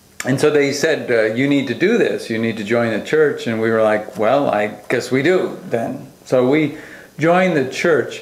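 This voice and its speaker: With noticeable background noise and audible room echo, an American man speaks at a moderate pace, his fairly high voice carrying lively intonation. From US Northeast, Long Island, New York. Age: 50s. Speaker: pastor. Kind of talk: testimony. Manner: hesitant, many fillers.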